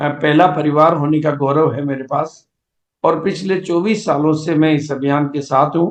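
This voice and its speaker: Monotone and flat, a man speaks at a fairly high pitch. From India, rural village. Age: 70s. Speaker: network marketing business leader. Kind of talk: motivational seminar talk. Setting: video call. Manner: halting, with fillers.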